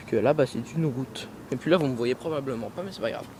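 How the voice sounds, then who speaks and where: Over noticeable background noise, a man talks at a fairly quick pace in a medium pitch with ordinary pitch variation. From Quebec. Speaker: vlogger. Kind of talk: casual vlog. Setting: outdoors at night, walking on a road. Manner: hesitant.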